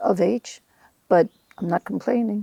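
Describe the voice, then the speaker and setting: Vocal fry runs through a woman's voice, captured with a dry, close sound, no echo and a very clean, silent background. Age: 70s. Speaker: interviewee, mother of the host. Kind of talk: casual chat. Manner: halting.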